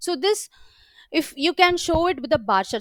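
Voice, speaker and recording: A woman speaks with lively intonation in a dry, close recording with no echo. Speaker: software trainer. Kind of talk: live training session. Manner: fast; halting with fillers.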